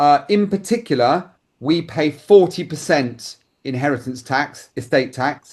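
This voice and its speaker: A man with a British accent speaks at a fairly slow pace in a fairly high pitch. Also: ordinary pitch variation. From United Kingdom. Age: 60s. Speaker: insurance advisor. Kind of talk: interview answer.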